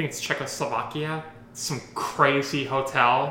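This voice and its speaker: This is a man's voice. He talks in a monotone, flat intonation. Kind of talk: casual chat.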